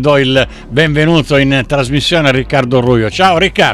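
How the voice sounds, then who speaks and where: Noticeable background noise sits behind a man speaking at a fairly slow pace. His pitch is medium, with ordinary pitch variation. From Sicily. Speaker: radio host. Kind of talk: radio interview.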